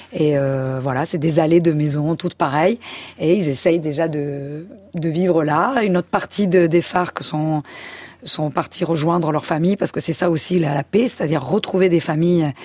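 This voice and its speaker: A woman talks at a moderate pace. Her voice is fairly low-pitched, with ordinary pitch variation. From France and Spain. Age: 40s. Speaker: photojournalist. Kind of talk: interview. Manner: hesitant.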